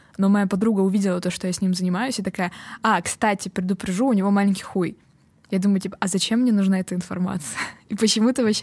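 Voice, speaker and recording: A somewhat breathy, medium-pitched woman's voice, very fast in pace, with fairly even intonation. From Estonia. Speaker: comedian. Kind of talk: casual chat.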